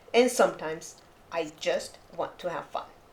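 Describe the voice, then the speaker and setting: A woman speaks in a calm tone. Her pitch swings very widely. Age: 60s. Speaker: artist and lifestyle vlogger. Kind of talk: reflective voice-over narration. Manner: calm, reflective.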